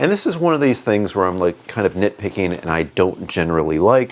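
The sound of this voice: A booming man's voice sits fairly low in pitch, with lively intonation. He talks at a fairly quick pace.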